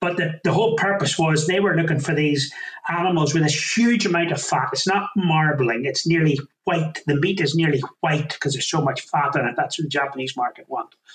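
With a Northern Irish accent, a man talks at a fairly quick pace in a fairly high pitch, with very even loudness and ordinary pitch variation. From Northern Ireland, County Down. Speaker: farmer and butcher business owner. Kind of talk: interview.

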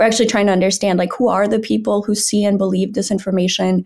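This woman's medium-pitched voice carries vocal fry and fairly even intonation, captured in a very clean recording with a silent background. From Brazil, raised in northern Wisconsin. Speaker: nonprofit founder, disinformation researcher. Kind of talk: podcast interview.

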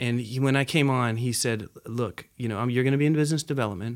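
On a very clean recording with a silent background, a man with an American accent speaks in an ordinary speaking voice at a medium pitch and a fairly quick pace. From Nepal and US, half childhood in Nepal. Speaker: business development professional. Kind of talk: interview.

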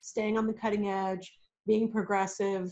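The speaker is a woman with a medium pitch. She keeps her intonation fairly even. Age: 40s. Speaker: game store owner. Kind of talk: casual chat.

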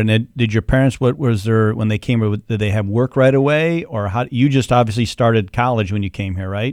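Very clean and silent in the background, this dry, close recording with no echo carries a man's medium-pitched voice, a plain, everyday voice. He talks fairly quickly with fairly even intonation. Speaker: podcast host and accountant. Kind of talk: casual interview. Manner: jokey, playful.

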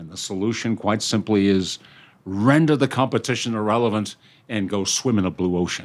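With an American accent, the speaker moves at a fairly quick pace, using ordinary pitch variation and big swings in loudness on a very clean recording with a silent background. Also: man, fairly low pitch for a man. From Britain. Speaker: innovation consultant, company CEO. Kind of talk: interview.

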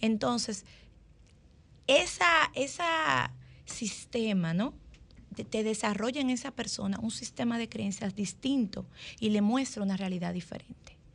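A woman speaks slowly in a fairly high, somewhat breathy voice with lively intonation. Long pauses come often. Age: 40s. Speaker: family lawyer and columnist. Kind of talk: radio panel discussion.

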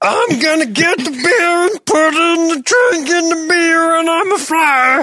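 In a put-on character voice pitched extremely high, the speaker goes at a moderate pace with hardly any pauses.

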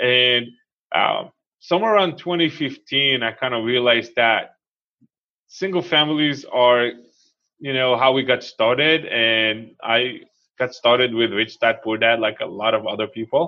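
Speaking at a fairly slow pace with an Israeli accent, a man of medium pitch uses ordinary pitch variation. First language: Hebrew. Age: 40s. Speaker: real estate investor. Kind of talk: interview.

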